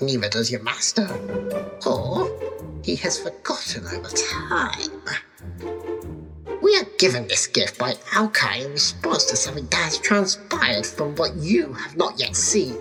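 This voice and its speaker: A put-on character voice speaks at a moderate pace with long, frequent pauses over clear music in the background. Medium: audio drama. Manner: cryptic, aloof.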